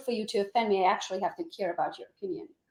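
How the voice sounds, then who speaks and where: A woman's very fast speech in a bright, sharp tone. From Transylvania, Romania. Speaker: real estate agent. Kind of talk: casual interview chat.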